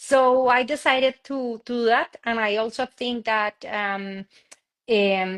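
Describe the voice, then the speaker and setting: A woman's fairly high-pitched voice with a Spanish accent, fairly even intonation, a very slow pace, and a dry, close sound with no echo. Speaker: tech entrepreneur. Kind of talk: interview conversation. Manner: halting.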